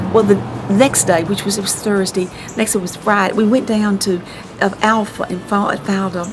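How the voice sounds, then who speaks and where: A woman with a Mississippi accent speaks at a fairly quick pace and fairly high pitch, with ordinary pitch variation. Music plays in the background, and room echo is audible. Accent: US Southern (Mississippi). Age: 60s. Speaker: local artist and columnist. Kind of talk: casual chat. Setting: at her home. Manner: animated.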